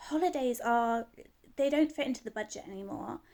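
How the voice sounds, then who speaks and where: Dark and mellow in tone, a woman with a British accent talks fairly quickly with ordinary pitch variation. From UK. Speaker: vlogger. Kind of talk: casual rant to camera. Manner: animated, frustrated.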